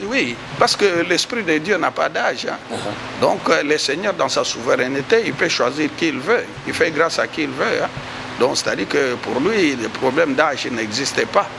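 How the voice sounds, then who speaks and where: Noticeable background noise beneath a voice of very wide pitch swings. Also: man, fairly high pitch for a man, moderate pace. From DR Congo. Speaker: church leader. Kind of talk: testimony. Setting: inside a church. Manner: halting. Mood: calm, storytelling. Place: studio. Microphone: handheld.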